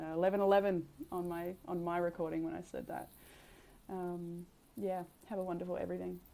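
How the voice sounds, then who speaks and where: A soft-spoken woman talks at a fairly quick pace, with long, frequent pauses. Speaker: tarot reader. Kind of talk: tarot reading. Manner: halting. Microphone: new mic setup to be clearer and louder.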